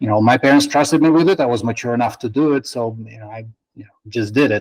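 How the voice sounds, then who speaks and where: Recorded with a dry, close sound and no echo, a man speaks with a Russian accent. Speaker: spine surgeon. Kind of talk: interview answers. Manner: halting.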